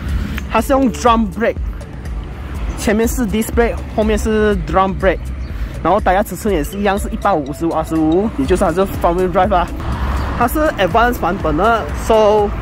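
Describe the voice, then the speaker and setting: The pace is moderate. Music is faintly audible in the background. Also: dry sound with no echo. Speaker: car reviewer. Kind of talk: casual car walkaround commentary. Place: street. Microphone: phone near.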